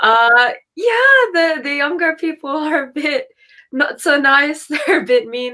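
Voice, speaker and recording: A woman speaks very slowly in a raised, projected voice with a bright, sharp tone. Her pitch is high, and her intonation is lively. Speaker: travel podcast host. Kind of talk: casual interview.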